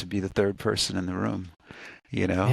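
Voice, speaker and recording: Deep and very low, a man's gravelly voice comes through on a very clean recording with a silent background. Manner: casual, conversational.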